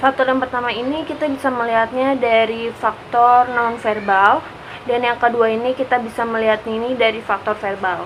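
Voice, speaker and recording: A woman speaks at a high pitch and a fairly quick pace, in a flat monotone. Background noise is noticeable. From Jakarta, Indonesia. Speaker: university student. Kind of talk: class assignment vlog presentation.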